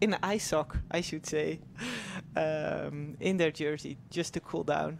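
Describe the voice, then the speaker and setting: In a Dutch accent, a woman speaks slowly-ish with a very deep, low pitch, vocal fry, and fairly even intonation. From Netherlands. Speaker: former pro cyclist, race commentator. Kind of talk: live race commentary.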